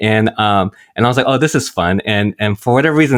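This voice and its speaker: In a very clean recording with a silent background and a dry, close sound free of echo, a man with a normal speaking voice talks fairly quickly at a fairly low pitch. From US, Korean-American family. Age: 40s. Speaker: priest. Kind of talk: casual chat.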